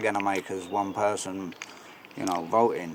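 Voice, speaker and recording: With a London accent, the speaker keeps a moderate pace and fairly even intonation amid noticeable background noise. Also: man. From London, England. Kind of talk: street interview answer.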